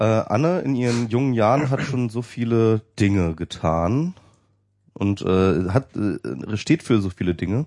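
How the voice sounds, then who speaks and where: A man's dark, mellow voice at a fairly slow pace, dry and close with no echo, over a quiet background. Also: medium pitch for a man, lively intonation. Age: 30s. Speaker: podcast co-host. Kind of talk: casual chat. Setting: studio.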